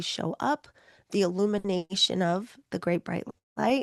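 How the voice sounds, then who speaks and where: A woman with vocal fry speaks at a fairly slow pace, medium pitch and fairly even intonation. The sound is dry and close with no echo, over a quiet background. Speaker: reiki and energy healing teacher. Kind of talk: online masterclass.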